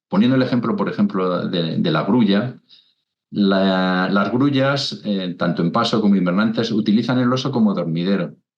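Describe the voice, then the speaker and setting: A man talks at a fairly low pitch and a moderate pace. His loudness stays very even, with ordinary pitch variation. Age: 60s. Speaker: naturalist, wetland expert. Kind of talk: interview. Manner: halting, many repetitions and fillers.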